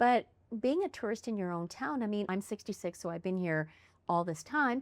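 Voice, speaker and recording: A woman's medium-pitched voice at a fairly quick pace with lively intonation, on a very clean recording with a silent background. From Canada, Winnipeg, Manitoba. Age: 60s. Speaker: podcast host. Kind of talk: casual interview chat.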